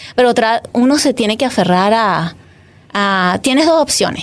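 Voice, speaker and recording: A woman with a Venezuelan accent, high-pitched, at a moderate pace. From Venezuela, Caracas. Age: 40s. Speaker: photographer. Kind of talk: casual chat.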